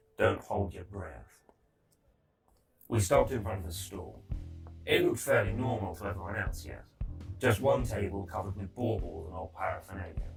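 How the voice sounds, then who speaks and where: A man uses a put-on character voice, raspy and very deep and low, at a moderate pace with long, frequent pauses. Faint music plays in the background. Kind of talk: audio drama narration and dialogue. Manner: blunt, irritable.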